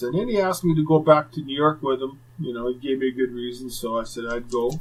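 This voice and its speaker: With an unremarkable speaking voice, a man talks at a fairly quick pace and ordinary pitch variation. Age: 50s. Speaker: retired hockey enforcer, podcast host. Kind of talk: casual storytelling.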